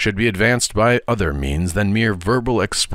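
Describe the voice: The speech is plain reading aloud with lively intonation.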